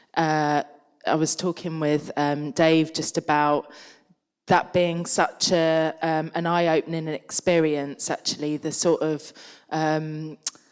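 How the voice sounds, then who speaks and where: A woman with a London accent speaks at a very slow pace in a very deep, low voice. Her intonation is monotone and flat, on a very clean recording with a silent background. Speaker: artist panelist. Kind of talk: panel Q&A discussion. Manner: halting.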